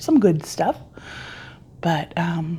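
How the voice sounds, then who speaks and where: Over noticeable background noise, a woman speaks quietly with a very deep, low pitch. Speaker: crochet YouTuber. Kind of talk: casual vlog talk. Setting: home, early morning. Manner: quiet, hushed.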